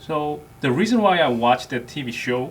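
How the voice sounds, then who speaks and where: The speaker uses a Korean accent, a fairly slow pace and lively intonation. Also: man. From South Korea. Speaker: army NCO. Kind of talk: interview.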